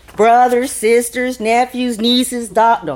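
Talking at a fairly slow pace, a woman with a fairly high pitch has an ordinary speaking voice. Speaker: storyteller performing personal story. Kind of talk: live storytelling performance.

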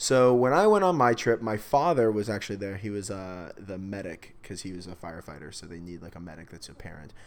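A man with an American accent and an unremarkable speaking voice, fairly low in pitch, at a fairly quick pace with big swings in loudness. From US South, Palm Beach County, Florida. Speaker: podcast guest. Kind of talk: casual chat.

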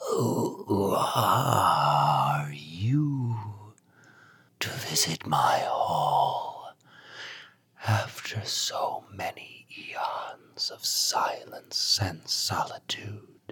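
A man uses a creaky, raspy put-on character voice at a very slow pace. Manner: grand, ominous, gaining strength.

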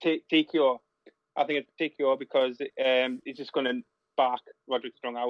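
This man talks at medium pitch with monotone, flat intonation and long, frequent pauses. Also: moderate pace. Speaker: wrestling podcast co-host. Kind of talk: casual chat. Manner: rambling, repeats words.

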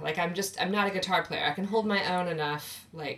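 A woman's fairly low-pitched, fairly bright voice at a fairly quick pace. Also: ordinary pitch variation.

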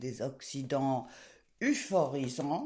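A woman's very deep, low voice with a dark, mellow tone at a very slow pace. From England, raised by a cosmopolitan family. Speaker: cookbook author and journalist. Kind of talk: interview. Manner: animated.

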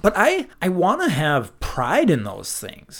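A man speaks in a Minnesotan accent with very wide pitch swings. The recording is very clean, with a silent background. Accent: Minnesota. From Minnesota, US Midwest. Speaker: podcast host. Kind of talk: casual conversational podcast discussion. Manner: enthusiastic, animated.

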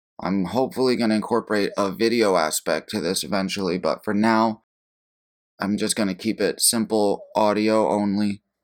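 Speaking in an ordinary speaking voice, a man with a fairly low pitch keeps fairly even intonation and very even loudness at a moderate pace, on a very clean recording with a silent background. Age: 20s. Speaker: podcast host and producer. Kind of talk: casual solo monologue.

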